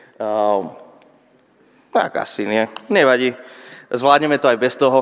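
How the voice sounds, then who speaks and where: A man's medium-pitched voice at a moderate pace with lively intonation. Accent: Spanish. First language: Spanish (speaking Slovak). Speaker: pastor. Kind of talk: sermon. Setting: church.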